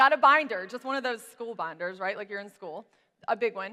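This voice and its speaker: Speaking with an American accent, a woman has a bright, sharp tone. She moves at a fairly quick pace with lively intonation. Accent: Southern US, coming out strong today. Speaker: business coach. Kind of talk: tutorial. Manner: casual, chatty.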